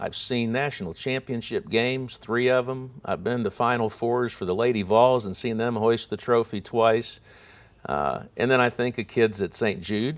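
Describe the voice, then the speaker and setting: Here a man talks in a normal speaking voice at a medium pitch and moderate pace with ordinary pitch variation. The recording is very clean, with a silent background. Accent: American. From Ohio. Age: 60s. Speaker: sports broadcaster. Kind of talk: interview conversation.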